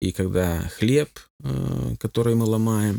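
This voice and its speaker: In a very clean recording with a silent background, a man speaks with a fairly low pitch, a dark, mellow tone, and ordinary pitch variation. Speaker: pastor and church union leader. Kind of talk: radio interview.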